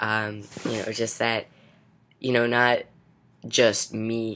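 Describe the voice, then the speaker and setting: A man speaks in a bright, sharp tone. His intonation stays fairly even. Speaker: vlogger documenting gender transition. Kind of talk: casual video diary. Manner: casual with many fillers.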